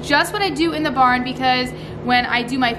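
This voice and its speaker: Over music in the background, a woman speaks at a fairly quick pace in a high pitch. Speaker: farm vlogger. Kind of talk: casual vlog chat. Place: farm machine. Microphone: phone near.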